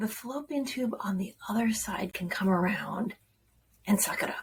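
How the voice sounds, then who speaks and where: A woman's fairly high voice at a moderate pace, with lively intonation. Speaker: self-development video host. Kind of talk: casual vlog talk to camera. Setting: at home, children going to bed. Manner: conversational, informal.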